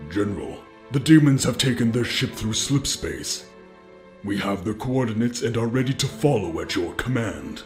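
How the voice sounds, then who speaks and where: Over clear music in the background, a man puts on a character voice at medium pitch. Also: moderate pace. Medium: machinima. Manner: deferential, formal.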